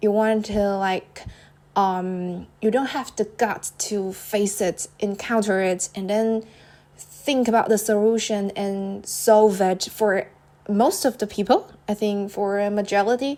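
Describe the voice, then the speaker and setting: A woman with a non-native accent speaks at a very slow pace and medium pitch. Her tone is dark and mellow, and her intonation stays fairly even. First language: not English. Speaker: podcaster. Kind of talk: casual solo podcast monologue. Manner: halting, many fillers and repetitions.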